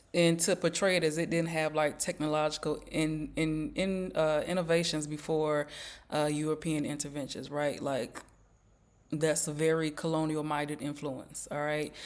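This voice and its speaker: The speech moves at a moderate pace on a very clean recording, silent background. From US South. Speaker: YouTuber. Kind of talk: casual vlog commentary. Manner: conversational with many fillers.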